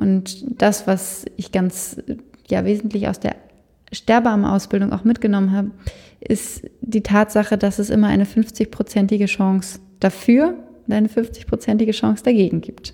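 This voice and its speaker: Her voice is somewhat breathy, with a dark, mellow tone and medium pitch for a woman. She keeps a moderate pace and fairly even intonation. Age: 20s. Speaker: death doula and funeral director. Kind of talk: interview.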